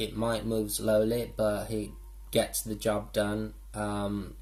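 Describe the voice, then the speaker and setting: Very slow speech over music in the background. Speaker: tarot reader. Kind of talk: tarot reading monologue. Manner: halting, many fillers.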